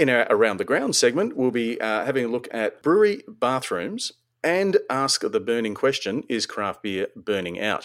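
A man with an Australian accent talks at a medium pitch with very wide pitch swings. His pace is moderate, with hardly any pauses. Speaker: podcast host. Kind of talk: casual chat. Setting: online call recording.

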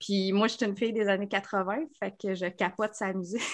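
The intonation stays fairly even. Its tone is bright and sharp. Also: woman, very clean recording, silent background. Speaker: podcast co-host. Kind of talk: casual chat.

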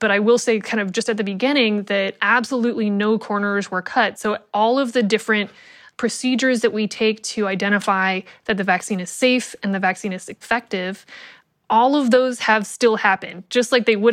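A woman uses a normal speaking voice, fairly high for a woman, with fairly even intonation at a fairly quick pace. The recording is very clean with a silent background. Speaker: epidemiologist. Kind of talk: interview.

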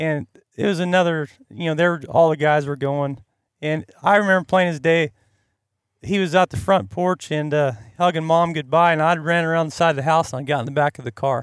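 A man with a plain, everyday voice talks at a fairly quick pace and a fairly high pitch, with ordinary pitch variation. The recording is very clean with a silent background and a dry, close sound with no echo. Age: 40s. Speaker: hunting guide in Alaska. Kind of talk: casual chat. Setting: outdoors at a campsite.

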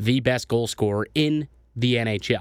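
A man with an unremarkable speaking voice and ordinary pitch variation, in a dry, close sound with no echo. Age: 20s. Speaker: sports podcast host. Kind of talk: casual sports commentary.

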